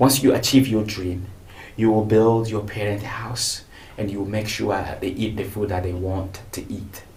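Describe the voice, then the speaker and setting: A man speaks at a moderate pace in a fairly low, somewhat breathy voice with fairly even intonation. There is audible room echo. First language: not English; speaks French, Swahili, Lingala, Bemba. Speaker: TV interview host. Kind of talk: interview. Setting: studio.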